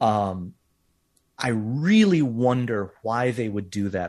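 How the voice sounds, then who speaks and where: This is a man's normal speaking voice, medium in pitch with ordinary pitch variation. The background is quiet. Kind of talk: casual interview chat.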